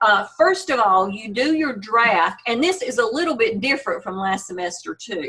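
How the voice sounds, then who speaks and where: Audible room echo surrounds a voice at a moderate pace, with very wide pitch swings and hardly any pauses. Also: woman, fairly high pitch for a woman. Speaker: university instructor. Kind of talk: online class lecture. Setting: video call.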